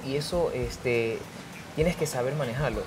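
Clear background noise sits behind a voice with ordinary pitch variation. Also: man.

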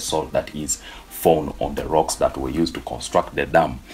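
A man speaks at a moderate pace with a very deep, low pitch and ordinary pitch variation. Faint music plays in the background. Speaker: forex trader vlogger. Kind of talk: casual vlog chat. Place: home room.

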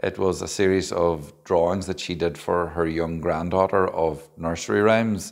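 Moderately paced male speech against a quiet backdrop. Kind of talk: casual video diary talk. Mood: relaxed, lightly amused. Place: hall.

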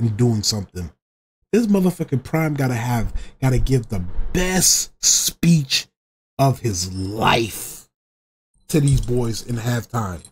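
A man's very slow delivery with lively, bouncing intonation. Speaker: YouTube reaction streamer; streamer. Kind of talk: casual reaction stream over game highlights. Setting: recorded video reaction to game footage. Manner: loud, excitable, whooping and cursing at big plays. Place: home room.

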